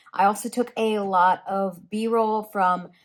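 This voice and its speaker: Against a silent background in a very clean recording, a woman talks at a fairly high pitch. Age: 20s. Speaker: lifestyle and personal finance vlogger. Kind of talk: travel vlog. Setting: hotel room. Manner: casual, filler-heavy.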